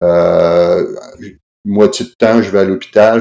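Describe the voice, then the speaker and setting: Speaking fairly slowly with a Quebec accent, this man has a fairly low pitch and a dark, mellow tone. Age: 60s. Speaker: anesthesiologist and novelist. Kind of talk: interview conversation. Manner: halting, many repetitions and fillers.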